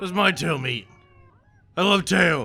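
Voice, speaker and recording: A man puts on a raspy, high-pitched character voice. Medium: actual play.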